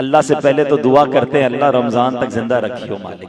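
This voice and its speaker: A man speaks over noticeable background noise. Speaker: Islamic preacher. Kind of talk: Islamic sermon (bayan) to a live audience.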